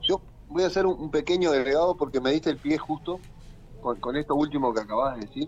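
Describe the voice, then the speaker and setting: This man's voice sits fairly high in pitch, with ordinary pitch variation. He talks at a very fast pace. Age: 40s. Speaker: teacher and political activist. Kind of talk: interview. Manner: repeats words, slightly halting.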